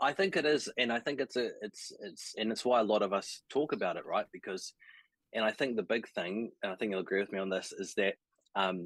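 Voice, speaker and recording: Someone with a New Zealand accent talks at a fairly quick pace in a dry, close sound with no echo. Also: man. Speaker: sales coach for creatives. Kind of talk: casual interview chat on a live stream. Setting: live stream video call.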